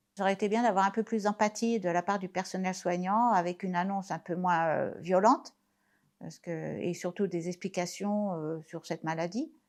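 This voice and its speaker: Here is a woman with an unremarkable speaking voice at a medium pitch. She keeps a moderate pace and a fairly even intonation. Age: 60s. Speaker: patient sharing testimony. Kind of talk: testimony.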